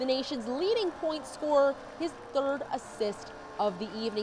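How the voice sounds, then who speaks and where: A woman speaks at a fairly slow pace in a high pitch. Noticeable noise sits in the background. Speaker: sports broadcaster. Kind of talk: sports highlights narration.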